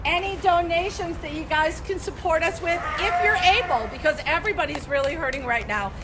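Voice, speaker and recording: Loud and animated, a woman with an extremely high pitch and lively intonation talks at a fairly quick pace with hardly any pauses, amid audible room echo and noticeable background noise. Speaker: animal educator. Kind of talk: virtual field trip presentation.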